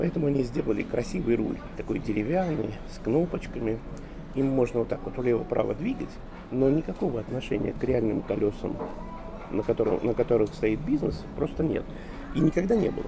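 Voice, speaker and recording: Over music in the background, a man speaks at a medium pitch with lively intonation. His pace is fairly quick, broken by long, frequent pauses. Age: 50s. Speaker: author and management consultant. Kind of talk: interview.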